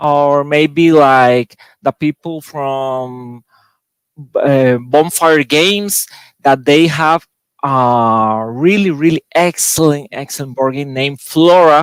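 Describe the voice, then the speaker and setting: Speaking very slowly in a Spanish accent, a man with a fairly high pitch is heard in a dry, close sound with no echo. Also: ordinary pitch variation. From Costa Rica. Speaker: board game designer. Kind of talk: panel discussion. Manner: halting.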